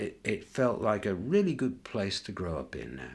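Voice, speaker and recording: A man speaks at a very slow pace. His voice has vocal fry. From northern England, York. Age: 60s. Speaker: interviewee sharing life memories. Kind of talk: reflective interview. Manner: hesitant, with many fillers.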